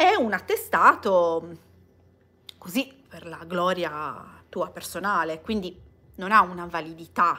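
Speaking very slowly in an Italian accent, a woman with a fairly low pitch and a bright, sharp tone leaves long, frequent pauses, her loudness swinging widely. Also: ordinary pitch variation. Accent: Italian accent when speaking English. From Italy. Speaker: vlogger. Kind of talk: casual livestream chat. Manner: hesitant with many fillers. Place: home room. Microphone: phone near.

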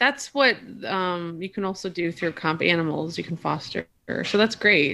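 A woman's fairly low, bright and sharp voice at a moderate pace with lively intonation, over light background noise. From small-town Wisconsin. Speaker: visual designer; podcast guest or host. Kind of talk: casual chat. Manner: animated. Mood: relaxed, friendly. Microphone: video call.

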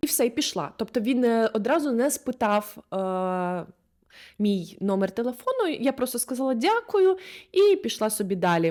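Moving at a moderate pace, a woman's voice makes very wide pitch swings in a very clean recording with a silent background. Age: 20s. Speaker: video blogger and body-oriented therapist. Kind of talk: casual advice monologue. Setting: recorded on the spot.

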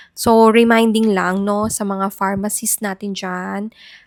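The delivery is monotone and flat at a fairly slow pace, in a very clean recording with a silent background and a dry, close sound with no echo. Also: woman. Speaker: doctor giving health advice. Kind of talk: health advice video.

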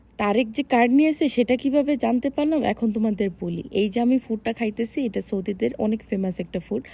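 A woman's fairly high, somewhat breathy voice with a dark, mellow tone and ordinary pitch variation. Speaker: vlogger. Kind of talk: casual vlog. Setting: shopping mall.

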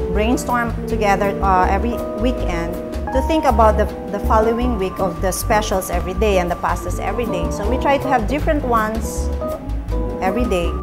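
A woman at a fairly quick pace over loud background music. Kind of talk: interview answer. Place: cafe.

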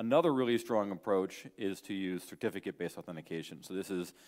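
The speech moves at a very fast pace with ordinary pitch variation. The background is quiet. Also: man. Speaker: conference speaker. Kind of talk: lecture. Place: hall.

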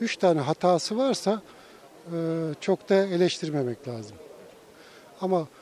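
Over light background noise, a man speaks with lively intonation. The sound is dry, with no echo. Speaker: retired tourism manager. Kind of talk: street interview opinion. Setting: outdoors. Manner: halting. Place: street. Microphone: handheld.

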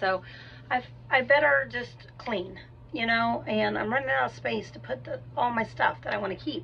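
Light noise runs in the background. A woman speaks at a moderate speed. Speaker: vlogger. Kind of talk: casual vlog chat. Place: garage. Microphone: phone near.

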